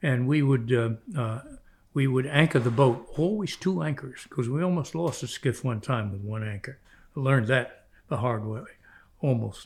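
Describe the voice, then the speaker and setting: A man with an American accent speaks at a moderate pace and medium pitch, somewhat breathy, with lively intonation. He takes long, frequent pauses in a very clean recording with a silent background. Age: 90. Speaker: retired orthopedic surgeon and fly fisherman. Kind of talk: storytelling interview.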